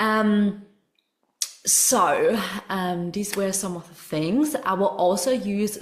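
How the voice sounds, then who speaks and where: A woman is speaking here. She has a German accent. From Germany. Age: 20s. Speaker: spiritual coach. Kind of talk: online masterclass. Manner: animated.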